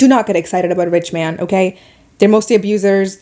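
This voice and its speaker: Talking at a very fast pace with an animated tone, a woman speaks at a medium pitch in a Middle Eastern accent. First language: not English. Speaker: podcast host and YouTuber. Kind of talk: casual monologue podcast.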